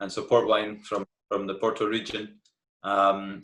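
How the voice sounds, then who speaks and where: A man speaks with a Scottish accent. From Scotland, Glasgow. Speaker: tour guide. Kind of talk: interview.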